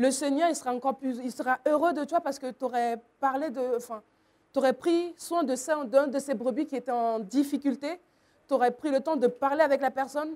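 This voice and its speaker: On a very clean recording with a silent background, a woman speaks at a high pitch in a dark, mellow tone with fairly even intonation. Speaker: youth preacher. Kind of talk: sermon. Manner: fast.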